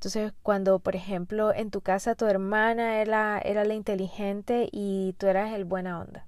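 A woman talks at medium pitch. Her intonation is flat and monotone. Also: moderate pace, hardly any pauses. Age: 30s. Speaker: podcast host. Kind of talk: solo podcast monologue.

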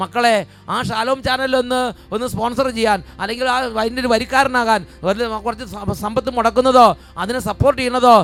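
A man speaks with an extremely high pitch. His intonation is monotone and flat. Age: old. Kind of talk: sermon; charismatic prayer. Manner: fervent, loud praise; repetitive exclamations.

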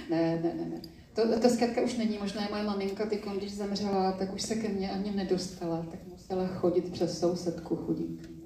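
A woman at a fairly quick pace, fairly even in intonation, with audible room echo and noticeable background noise. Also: medium pitch for a woman. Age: 60s. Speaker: spiritual teacher. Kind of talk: public interview on stage. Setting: stage with audience.

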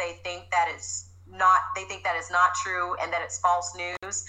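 A woman with an American accent speaks at a fairly slow pace over noticeable background noise. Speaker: fitness trainer. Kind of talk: casual interview.

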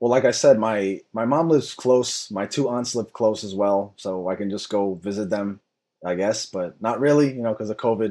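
A man with an American accent speaks at a moderate pace in a fairly low, dark, mellow voice with ordinary pitch variation, on a very clean recording with a silent background. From New York City. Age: 30s. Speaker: comedian. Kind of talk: casual storytelling chat. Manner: animated, conversational, joking.

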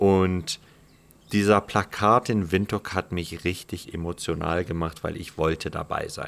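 A man's very deep, low voice in a monotone, flat delivery. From Namibia, Omaruru. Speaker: former pro cyclist, bicycle builder. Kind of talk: interview.

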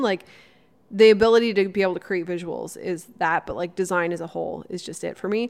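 A woman's plain, everyday voice at medium pitch, moderate pace and fairly even intonation, on a very clean recording with a silent background. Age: 30s. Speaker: YouTuber and podcast co-host. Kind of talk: casual chat.

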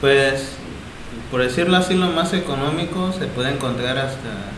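Fairly high-pitched male voice with ordinary pitch variation, plus audible room echo and noticeable background noise. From Oaxaca, Mexico. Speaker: leather craftsman. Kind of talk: casual interview. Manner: halting.

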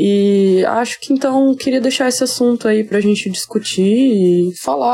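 A woman is speaking. Her tone is dark and mellow. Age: 20s. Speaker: listener sending a voice message. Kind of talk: recorded voice message, personal vent.

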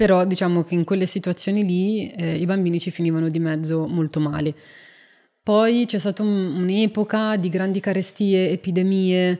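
A normal speaking voice from a woman, medium in pitch, fairly even in intonation, at a moderate pace. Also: very clean recording, silent background. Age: 40s. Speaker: zoologist and wolf expert. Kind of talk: casual interview chat.

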